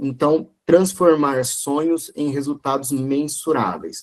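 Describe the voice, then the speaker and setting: Speech from a man comes at a very slow pace. His voice sits fairly high in pitch. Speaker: e-commerce consultor, guest lecturer. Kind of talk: online lecture.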